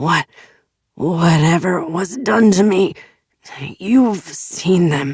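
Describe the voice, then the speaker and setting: In a put-on character voice that is raspy and middle-pitched, the speaker goes at a very slow pace with long, frequent pauses. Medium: read story. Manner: erratic, mercurial, shifts from venom to silky.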